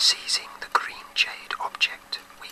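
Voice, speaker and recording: Whispering in a British accent, a man talks at a fairly slow pace. Background noise is noticeable. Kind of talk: audiobook-style short story reading. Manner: whispered.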